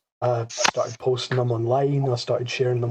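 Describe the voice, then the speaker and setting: Somewhat breathy speech in a monotone, flat intonation. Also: man. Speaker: podcast co-host, fan fiction writer. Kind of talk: casual group chat.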